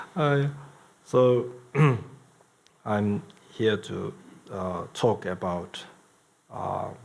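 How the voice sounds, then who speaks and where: A man with a Tibetan accent, fairly low in pitch, very slow, with long, frequent pauses. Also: ordinary pitch variation. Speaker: Buddhist lama and teacher. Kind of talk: dharma talk. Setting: in-person event with audience. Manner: halting with many fillers.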